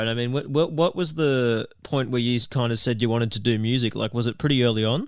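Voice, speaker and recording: Speaking at a very fast pace, a man with an Australian accent uses a medium pitch and ordinary pitch variation. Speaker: podcast host. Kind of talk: interview.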